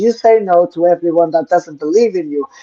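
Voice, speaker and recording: Speaking in a dark, mellow tone, a woman with a fairly low pitch shows ordinary pitch variation. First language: not English. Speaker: co-host of spiritual Q&A show. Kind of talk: live Q&A stream, spiritual talk. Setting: live online stream.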